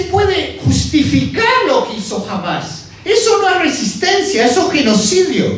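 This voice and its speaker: A man at an extremely high pitch and a fairly slow pace, with audible room echo and noticeable background noise. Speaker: international relations professor. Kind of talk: conference talk.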